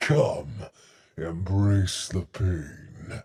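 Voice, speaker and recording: A man's put-on character voice at a very deep, low pitch, with slight echo. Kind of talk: theatrical, ominous. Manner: scary, menacing.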